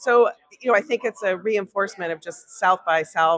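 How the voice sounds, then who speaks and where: A woman speaks in a normal speaking voice at medium pitch. Her pitch variation is ordinary. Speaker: corporate innovation executive. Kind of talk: interview. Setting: festival lounge.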